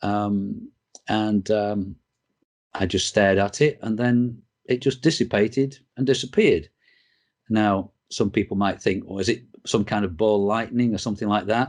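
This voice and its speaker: A man with a northern English accent and fairly low pitch speaks at a moderate pace with fairly even intonation. He takes long, frequent pauses against a quiet background. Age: 60s. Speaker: interviewee on UFO experiences. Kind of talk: interview. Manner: halting, many fillers.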